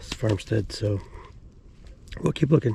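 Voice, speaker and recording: This man sounds somewhat breathy. His tone is dark and mellow. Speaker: metal detecting video creator. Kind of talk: outdoor detecting vlog commentary. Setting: outdoors at wooded farm site. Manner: hesitant, many fillers.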